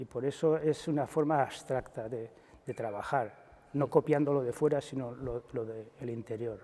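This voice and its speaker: This man's medium-pitched voice has a dark, mellow tone. He keeps a moderate pace and fairly even intonation. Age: 70s. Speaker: sculptor. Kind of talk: interview. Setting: exhibition in a chapel. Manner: halting.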